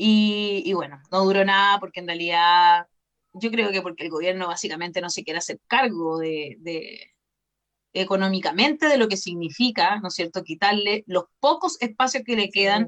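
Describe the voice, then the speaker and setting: Speaking in a Chilean accent, a woman keeps a moderate pace and a medium pitch. Her pitch varies in an ordinary way while her loudness swings widely. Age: 40s. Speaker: journalist. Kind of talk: casual chat.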